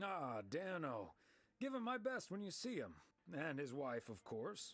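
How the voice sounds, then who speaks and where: A man puts on a raspy character voice, fairly high in pitch with very wide pitch swings, at a moderate pace. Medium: video game. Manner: dry, laid-back.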